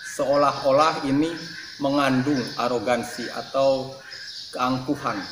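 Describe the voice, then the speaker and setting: A man speaks at a very slow pace with fairly even intonation and long, frequent pauses. Noticeable background noise can be heard. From Indonesia. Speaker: YouTube channel creator. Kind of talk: channel introduction monologue. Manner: friendly and straightforward. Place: home room.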